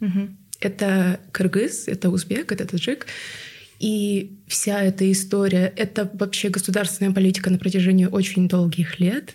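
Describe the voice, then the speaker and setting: A woman with a medium pitch and a dark, mellow tone speaks in a somewhat breathy, monotone voice with flat intonation and very even loudness. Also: moderate pace. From Tuva, Russia. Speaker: podcast guest. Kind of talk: casual interview chat.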